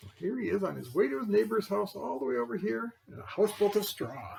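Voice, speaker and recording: A man puts on a character voice with a high pitch and talks at a fairly quick pace. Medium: read story. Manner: chatty, defensive, addresses listeners directly.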